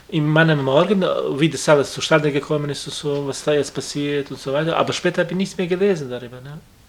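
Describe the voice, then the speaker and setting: Over noticeable background noise, a man with a non-native accent talks at a very fast pace in a fairly high pitch, his intonation fairly even and his loudness swinging widely. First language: not German (speaking German). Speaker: friend of the victim, workshop colleague. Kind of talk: interview. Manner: halting.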